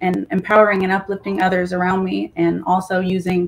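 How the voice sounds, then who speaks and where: A woman talks in a plain, everyday voice with an American accent. Her pitch is medium and her pace moderate. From California. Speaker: author. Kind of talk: interview.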